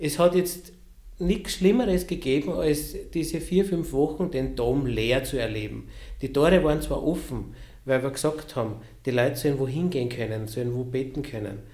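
A man's medium-pitched voice with a dark, mellow tone, ordinary pitch variation, vocal fry and a moderate pace, in audible room echo. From Lower Austria. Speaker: cathedral sacristy director. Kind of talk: casual interview. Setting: office near the cathedral.

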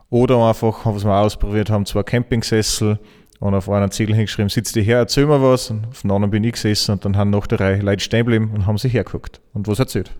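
Over music in the background, a man with a fairly low pitch rattles along very fast in a flat monotone. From Austria, Salzburg region. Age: 30s. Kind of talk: interview.

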